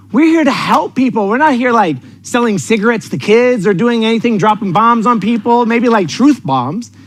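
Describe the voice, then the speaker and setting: A man speaks in an extremely high pitch with an energetic, animated tone, ordinary pitch variation and very even loudness. He hardly pauses, over noticeable background noise. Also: moderate pace. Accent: American. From New York City. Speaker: sales coach. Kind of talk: motivational seminar talk. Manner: direct, intense.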